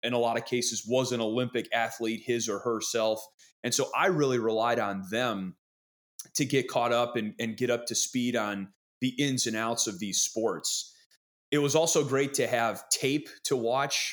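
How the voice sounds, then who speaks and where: A man speaks in a normal speaking voice at a medium pitch with fairly even intonation. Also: moderate pace. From Wisconsin. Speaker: sports broadcaster. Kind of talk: casual interview chat.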